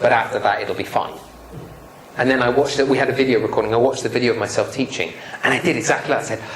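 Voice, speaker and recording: A man talks at a very fast clip in an animated tone. There is noticeable background noise and audible room echo. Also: medium pitch for a man. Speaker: public speaking trainer. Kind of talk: lecture.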